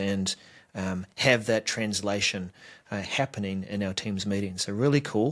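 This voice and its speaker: At a moderate pace and with fairly even intonation, a man speaks on a very clean recording with a silent background. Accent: New Zealand. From New Zealand. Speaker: tech show co-host. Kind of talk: casual chat.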